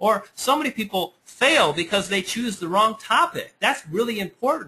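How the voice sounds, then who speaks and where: A man speaks in a raised, projected voice with lively intonation and a bright, sharp tone. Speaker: internet marketing webinar presenter. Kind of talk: webinar presentation. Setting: webinar. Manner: fast; animated.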